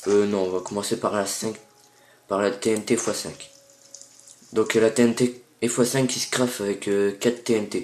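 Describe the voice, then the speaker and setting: With long, frequent pauses, a man talks at a fairly slow pace in a fairly low pitch and monotone, flat intonation. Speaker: gaming youtuber. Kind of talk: gameplay tutorial. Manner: hesitant, many fillers.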